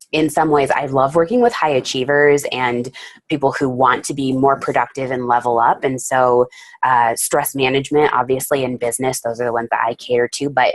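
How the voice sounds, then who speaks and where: Very deep, low female voice, fairly quick, with monotone, flat intonation. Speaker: life coach presenting on workshops. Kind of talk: webinar presentation. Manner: hesitant fillers.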